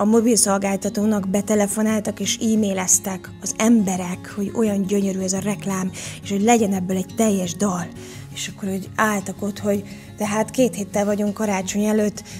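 A woman's monotone, flat delivery at a moderate pace over clear music in the background. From Hungary. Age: 40s. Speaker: actress and voice actor. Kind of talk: interview answer. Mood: reflective, warm storytelling. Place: studio. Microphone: studio mic.

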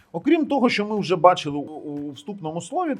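A man at a moderate pace with very wide pitch swings, over music in the background. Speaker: tech reviewer. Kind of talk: product review. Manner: casual, conversational.

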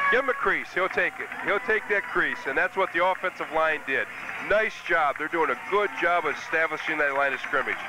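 Over noticeable background noise, a man with a high pitch talks at a fairly quick pace, enthusiastic in tone and lively in intonation. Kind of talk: color commentary, analyst talk during live game. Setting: press box at stadium. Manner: conversational, analytical, enthusiastic.

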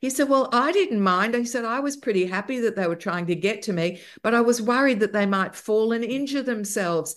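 Lively intonation marks a woman speaking with an Australian accent. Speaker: broadcaster and music podcaster. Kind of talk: casual interview chat. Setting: video call.

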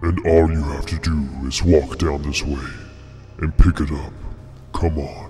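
Over clear music in the background, a man puts on a growling character voice, speaking at a fairly slow pace with long, frequent pauses. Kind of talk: casual vlog chat. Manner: scary, ominous, beckoning.

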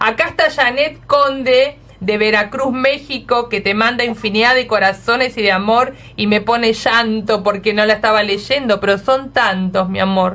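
A woman with an Argentine accent speaks in an animated tone at a fairly high pitch. Her moderate pace comes with ordinary pitch variation and very even loudness. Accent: Argentine Spanish (Rioplatense). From Argentina. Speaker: radio host. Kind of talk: radio interview. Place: studio.

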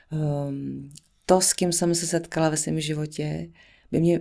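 Against a quiet background, a woman with a very deep, low pitch speaks at a fairly slow pace. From central Bohemia, Czech Republic. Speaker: singer and actress; actress. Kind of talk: casual interview chat. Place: studio. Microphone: studio mic.

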